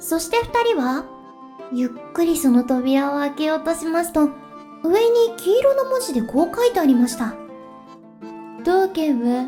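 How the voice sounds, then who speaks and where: A woman's voice at a fairly slow pace with very wide pitch swings, music playing in the background. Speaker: virtual streamer. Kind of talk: bedtime story reading.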